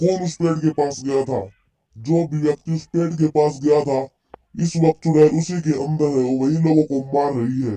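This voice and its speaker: A man puts on a character voice at a fairly high pitch, talking fairly quickly with fairly even intonation. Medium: read story. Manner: grave, commanding.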